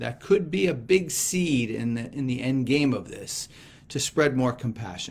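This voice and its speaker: Speaking at a fairly slow pace, a man with a fairly high pitch sounds somewhat breathy and uses lively intonation. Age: 60s. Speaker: gospel reflection speaker. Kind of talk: scripture reflection.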